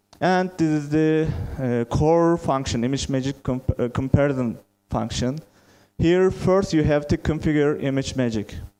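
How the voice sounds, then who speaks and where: With a Turkish accent, a man speaks at a moderate pace in a fairly high voice with a dark, mellow tone and ordinary pitch variation. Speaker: software testing lead. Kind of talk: conference talk.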